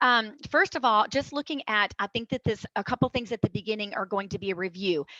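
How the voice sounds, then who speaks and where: A woman with a fairly high pitch and a bright, sharp tone talks at a fairly quick pace with hardly any pauses and ordinary pitch variation, in a dry, close sound with no echo. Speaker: health educator. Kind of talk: presentation. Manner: fast.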